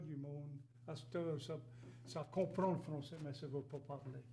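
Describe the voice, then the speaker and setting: Somewhat breathy and fairly high-pitched, a man speaks at a moderate pace with audible room echo. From Louisiana, rural Cajun area near Gueydan. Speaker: interview guest. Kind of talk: casual interview.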